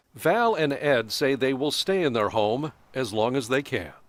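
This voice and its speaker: At a moderate pace, a man speaks in a normal speaking voice of medium pitch, with lively intonation and very even loudness. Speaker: TV news reporter. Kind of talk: TV news report narration.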